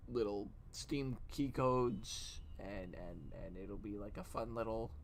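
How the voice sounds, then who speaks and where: A man's voice with audible room echo. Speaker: streamer. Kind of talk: casual chat. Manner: soft-spoken; halting.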